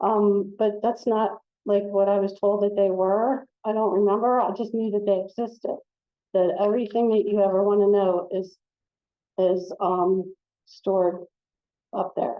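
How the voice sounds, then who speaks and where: A woman with an American accent at medium pitch, speaking at a fairly slow pace. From US, central Pennsylvania. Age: 60s. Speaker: former social worker, speaker. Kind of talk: personal testimony. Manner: halting, many fillers and repeats; animated.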